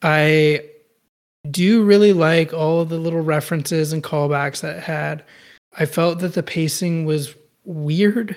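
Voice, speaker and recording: An unremarkable speaking voice from a man with an American accent, fairly high in pitch, with fairly even intonation and a fairly slow pace. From Austin, Texas. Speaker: podcast co-host, anime fan. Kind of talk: casual chat.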